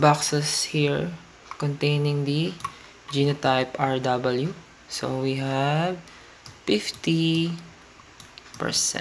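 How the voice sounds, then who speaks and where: Noticeable background noise runs under the voice. The pace is very slow. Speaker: science teacher. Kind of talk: educational lesson narration.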